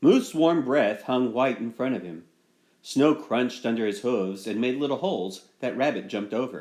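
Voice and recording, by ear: Lively intonation in reading aloud done in a natural voice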